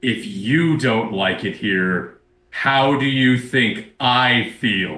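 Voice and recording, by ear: A man puts on a guttural character voice at a medium pitch. He speaks at a very slow pace.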